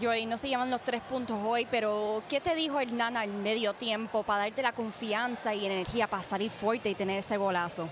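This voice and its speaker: Against music in the background, a woman talks very fast at a fairly high pitch with very even loudness and hardly any pauses. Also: ordinary pitch variation. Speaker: bilingual sports reporter and host. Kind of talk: interview questions to players in Spanish.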